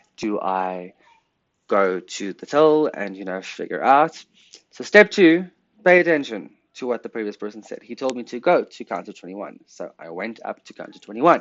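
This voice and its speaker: A man with a medium pitch, moderate pace, very wide pitch swings and big swings in loudness. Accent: South African. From South Africa. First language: Afrikaans. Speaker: podcast host. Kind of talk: casual chat.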